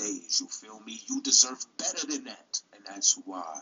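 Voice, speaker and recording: This man talks at a fairly slow pace. He has a New York accent. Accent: New York City. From Brooklyn, New York City. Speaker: YouTube commentary host. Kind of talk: casual commentary video.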